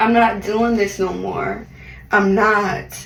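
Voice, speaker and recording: A woman speaks in an animated tone through audible room echo and noticeable background noise. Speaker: beauty vlogger. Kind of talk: voiceover monologue. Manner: loud.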